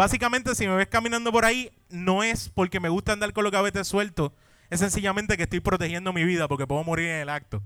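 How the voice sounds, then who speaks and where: A high-pitched man with a bright, sharp tone at a very fast pace, with ordinary pitch variation. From Puerto Rico, Caguas. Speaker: podcast co-host. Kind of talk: live comedy podcast before audience. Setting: brewery stage with live audience.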